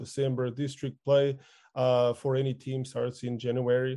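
A man's medium-pitched voice with a dark, mellow tone and a Portuguese accent. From Portugal, outskirts of Lisbon. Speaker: high school soccer assistant coach. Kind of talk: casual interview.

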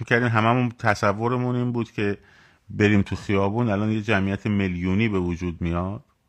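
A man speaks at a fairly quick pace in a fairly low pitch, with a quiet background behind him. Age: 40s. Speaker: political commentator. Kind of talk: live stream monologue. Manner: animated.

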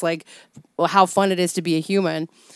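On a very clean recording with a silent background, a woman talks at a fairly quick pace in an unremarkable speaking voice of medium pitch. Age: 40s. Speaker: returning guest on horror film podcast. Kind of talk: casual chat.

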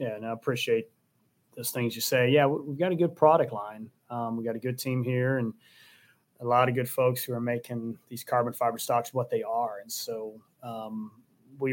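Speaking at a fairly quick pace, a man with a Southern US accent keeps a medium pitch and monotone, flat intonation. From US South. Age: 50s. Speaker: gun stock company co-owner. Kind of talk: casual interview chat.

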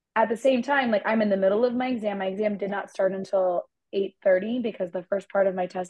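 A woman has a plain, everyday voice, pitched in the medium range and varying in an ordinary way. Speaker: podcast co-host and mental health student. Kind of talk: casual sports chat.

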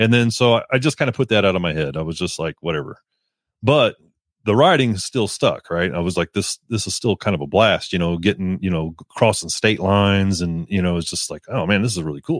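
With a Texan accent, a man talks at a fairly quick pace in a fairly low voice with lively intonation, the sound dry and close with no echo. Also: quiet background. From Texas. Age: 40s. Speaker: motorcycle videographer and podcaster. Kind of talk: casual chat. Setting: video call. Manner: halting, many fillers.

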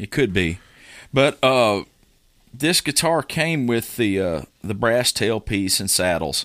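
Pausing long and often, a man speaks very slowly with a Tennessee accent, his medium-pitched voice making very wide pitch swings, the sound dry and close with no echo on a very clean recording with a silent background. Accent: Southern US (Tennessee). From Middle Tennessee (Carthage, Smith County). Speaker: guitarist. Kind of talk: casual chat. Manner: halting, with many fillers.

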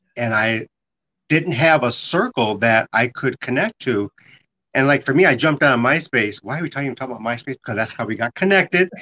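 Speaking at medium pitch, a man keeps up a fairly quick pace. His tone is animated and his intonation lively. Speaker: radio host and podcaster. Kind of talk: casual interview conversation. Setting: studio, guest joins remotely. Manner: animated, excitable.

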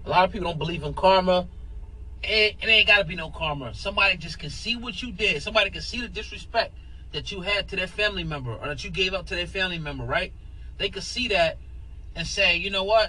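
A man rushes at a very fast pace, his loudness swinging widely, with noticeable background noise around him. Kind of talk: casual chat.

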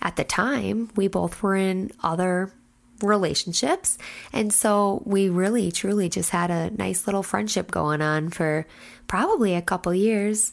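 Fairly slow speech in an Upper Midwest accent, very even in loudness, on a very clean recording with a silent background. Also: woman, medium pitch for a woman, ordinary pitch variation. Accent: Upper Midwest (Minnesota). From central Minnesota. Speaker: hairstylist, host's wife. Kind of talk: casual chat.

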